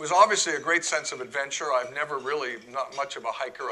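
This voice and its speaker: Noticeable background noise sits under a man's fairly high voice, which shows ordinary pitch variation. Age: 60s. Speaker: club president giving a talk. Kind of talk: talk to an audience. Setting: room with live audience.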